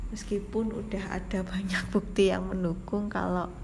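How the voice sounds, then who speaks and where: A woman whispering at a fairly slow pace, with audible room echo and noticeable background noise. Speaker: podcast host. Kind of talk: personal monologue. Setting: hospital. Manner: semi-whispered. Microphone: too quiet.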